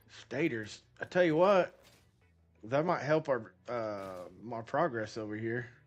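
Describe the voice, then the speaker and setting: Against a quiet background, the speaker talks at a fairly slow pace with lively intonation. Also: man, medium pitch for a man. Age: 40s. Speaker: gaming livestreamer. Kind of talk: casual live-stream chat while gaming. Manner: animated.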